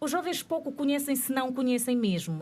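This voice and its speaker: A woman speaks at a fairly quick pace in a somewhat breathy voice, recorded very cleanly against a silent background. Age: 30s. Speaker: panel guest representing young generation. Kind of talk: panel debate.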